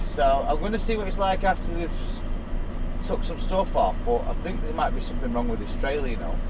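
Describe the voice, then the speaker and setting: A man speaks over noticeable background noise. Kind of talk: casual vlog chat. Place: car. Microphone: camera far.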